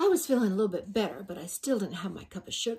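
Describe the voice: Simple, plain reading aloud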